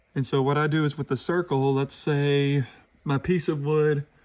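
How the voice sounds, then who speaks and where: In a monotone, flat intonation, a man speaks at a fairly high pitch. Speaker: woodburning hobbyist. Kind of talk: tutorial. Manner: slow, slightly halting.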